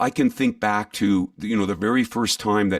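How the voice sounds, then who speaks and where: A man speaks quickly in a plain, everyday voice, his pitch fairly low and its variation ordinary. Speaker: voice artist and live event announcer. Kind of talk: interview answer.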